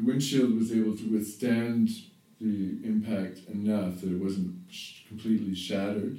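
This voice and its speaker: A dark, mellow tone moves at a moderate pace with fairly even intonation and big swings in loudness, in audible room echo. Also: man, fairly low pitch for a man. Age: 50s. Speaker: yoga teacher and therapist. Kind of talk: spiritual monologue. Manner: halting.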